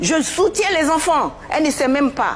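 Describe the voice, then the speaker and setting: Over noticeable background noise, a woman with an extremely high pitch speaks at a moderate pace with lively intonation. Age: 60s. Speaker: mother of a public figure, former dancer. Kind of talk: TV talk show interview. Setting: TV studio set. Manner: emotional, insistent.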